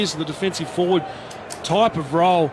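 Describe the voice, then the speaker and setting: Over noticeable background noise, a man with an Australian accent talks at a fairly quick pace in an animated, enthusiastic tone. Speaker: sports commentator. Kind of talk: live sports commentary. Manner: animated, enthusiastic, punchy calling.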